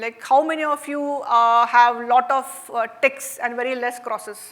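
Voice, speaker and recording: A woman with a Marathi Indian accent speaks at a fairly slow pace. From India, Maharashtra. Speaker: workshop facilitator. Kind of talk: interactive workshop talk. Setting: stage with audience. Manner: conversational, frequent fillers.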